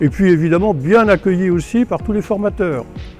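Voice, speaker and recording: A high-pitched male voice with music in the background. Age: 70s. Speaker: retired carpentry apprentice. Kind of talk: interview answer.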